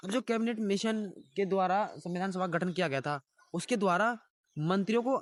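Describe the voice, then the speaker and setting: A high-pitched man in a dry, close sound with no echo. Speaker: teacher. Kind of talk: lecture. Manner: halting.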